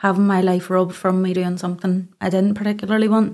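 In a Northern Irish accent, a woman talks very fast at a medium pitch with a dark, mellow tone and monotone, flat intonation on a very clean recording with a silent background. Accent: Northern Irish (Ulster). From Northern Ireland, County Antrim (Ballymena). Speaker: domestic abuse survivor and advocate. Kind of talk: testimony.

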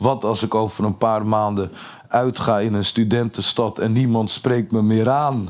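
The voice moves at a fairly slow pace with monotone, flat intonation and very even loudness. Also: man, medium pitch for a man. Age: 30s. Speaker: comedian. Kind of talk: interview. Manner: halting.

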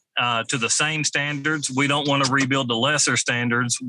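A man with a Kentucky accent speaks at medium pitch in a bright, sharp tone. His pace is moderate and his intonation fairly even. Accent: US Southern (Kentucky). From western Kentucky, Mayfield. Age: 40s. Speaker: fire chief. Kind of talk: interview. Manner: halting.

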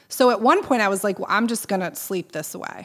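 At a fairly quick pace, a woman talks in an ordinary speaking voice with ordinary pitch variation. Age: 40s. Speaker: nonprofit fundraiser. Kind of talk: casual interview.

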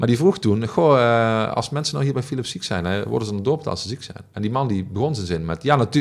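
Speaking at a fairly quick pace with lively intonation, a man is heard on a very clean recording with a silent background. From Netherlands, Heerlen (South Limburg). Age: 40s. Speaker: former union leader and programme director. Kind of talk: interview. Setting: office. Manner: halting.

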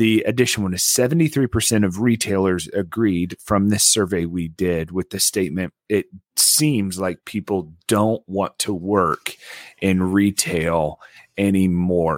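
A man with an ordinary speaking voice talks at a fairly slow pace, fairly low in pitch with ordinary pitch variation. The sound is dry and close with no echo, in a very clean recording with a silent background. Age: 30s. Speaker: podcast co-host. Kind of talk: casual chat.

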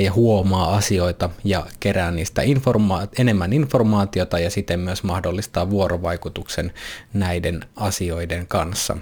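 The speaker is a man with a fairly low-pitched voice. His pitch variation is ordinary. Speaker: podcast host and coach. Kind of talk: solo monologue podcast.

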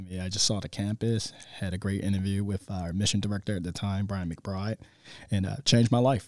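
A man's normal speaking voice with an American accent, fairly low in pitch, fairly quick and fairly even in intonation, in a very clean recording with a silent background. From Baltimore, Maryland. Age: 30s. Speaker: high school football coach and teacher. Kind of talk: interview. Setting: classroom.

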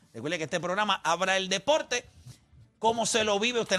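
A man with a Puerto Rican accent speaks at a fairly quick pace in a high pitch, his voice raised and projected. His tone is animated, bright and sharp. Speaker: sports radio host. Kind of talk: heated sports debate. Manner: loud, mocking, animated.

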